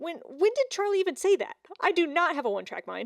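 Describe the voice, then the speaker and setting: In a put-on character voice, a woman speaks very fast with an extremely high, squeaky pitch and a dry, close sound with no echo. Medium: read story. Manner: energetic, goofy.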